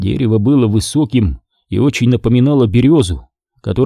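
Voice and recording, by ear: Natural-voiced reading aloud over a quiet background, pitch varying in an ordinary way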